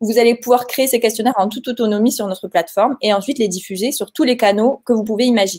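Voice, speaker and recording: Fairly high-pitched female speech with ordinary pitch variation. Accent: Toulouse. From Toulouse, southern France. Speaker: software company representative. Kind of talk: webinar presentation.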